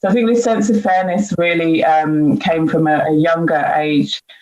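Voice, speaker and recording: A woman with a British accent speaks at a very deep, low pitch over noticeable background noise. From UK. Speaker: diversity and inclusion leader. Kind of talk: panel discussion. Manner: hesitant, many fillers.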